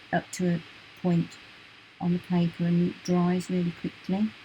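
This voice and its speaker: A soft-spoken woman talks in a fairly low voice with a British accent. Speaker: art teacher. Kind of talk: tutorial.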